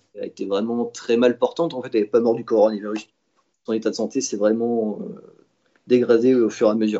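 At a medium pitch, a man speaks with fairly even intonation but big swings in loudness. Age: 20s. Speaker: toy store salesman. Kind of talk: personal testimony. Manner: hesitant with fillers.

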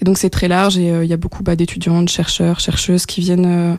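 Flat and monotone, a woman's voice sits at a fairly low pitch. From France. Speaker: communications and project coordinator at a feminist organisation. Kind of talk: radio interview.

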